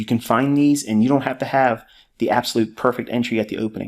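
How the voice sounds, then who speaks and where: At a fairly quick pace, a man talks in a flat monotone at a medium pitch. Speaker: trading educator. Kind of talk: tutorial.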